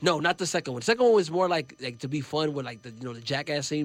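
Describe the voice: A loud, fast man's voice, fairly high, with big pitch swings.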